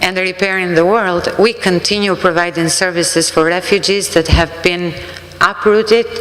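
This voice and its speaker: A woman's medium-pitched voice with an Albanian accent, monotone and flat in intonation, at a moderate pace over noticeable background noise. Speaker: refugee services worker. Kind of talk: sermon.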